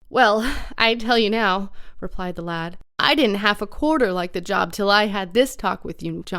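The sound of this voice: Lively intonation in an unforced reading voice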